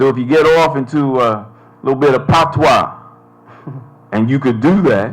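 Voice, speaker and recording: A man with an American accent and medium pitch talks at a fairly slow pace with ordinary pitch variation. Music plays in the background, and room echo is audible. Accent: sounds American, can switch to Bermudian. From Bermuda. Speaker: panelist, academic. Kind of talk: panel discussion. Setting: stage with audience.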